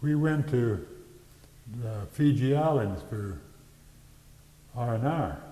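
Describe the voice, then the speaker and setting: Speaking very slowly with long, frequent pauses, a man with a medium-pitched, somewhat breathy voice uses lively intonation. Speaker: WWII Army veteran. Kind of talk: interview answer.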